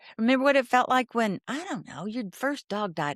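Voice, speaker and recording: A woman with a Southern US accent sounds animated, her intonation lively and her pace fairly quick. The sound is dry and close, with no echo. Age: 60s. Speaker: therapist. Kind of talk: interview.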